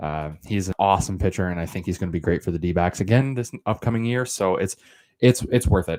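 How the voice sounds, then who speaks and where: Very deep, low male voice with ordinary pitch variation and a dry, close sound with no echo. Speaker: podcast host. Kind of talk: solo casual commentary. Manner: stuttering, many fillers.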